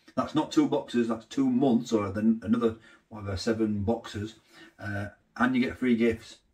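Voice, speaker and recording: Against a quiet background, a man with a Yorkshire accent talks at a moderate pace and medium pitch, his intonation fairly even. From northern England. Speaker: food vlogger. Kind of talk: casual vlog narration; sponsor read. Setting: inside a busy pie shop; outdoors in the rain. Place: kitchen.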